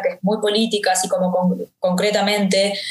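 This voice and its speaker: A woman speaks at a medium pitch and a moderate pace, somewhat breathy. Her intonation stays fairly even, and audible room echo surrounds her. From Uruguay, Montevideo. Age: 30s. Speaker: rapper and actress. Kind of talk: interview conversation.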